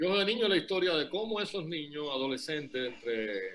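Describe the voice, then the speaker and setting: With lively intonation, a man speaks at a moderate pace in a fairly high pitch. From Cuba. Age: 60s. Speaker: novelist. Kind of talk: interview. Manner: halting.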